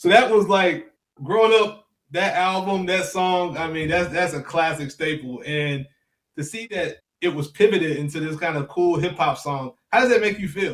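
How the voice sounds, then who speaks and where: Talking at a moderate pace, a man with a Memphis accent has a high pitch. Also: ordinary pitch variation. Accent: Southern US (Memphis). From US South, Memphis, Tennessee. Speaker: podcast host, music tech founder. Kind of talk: interview.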